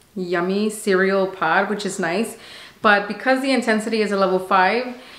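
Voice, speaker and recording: Audible room echo around a woman's fairly slow delivery. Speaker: coffee reviewer. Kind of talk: casual product review vlog. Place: kitchen.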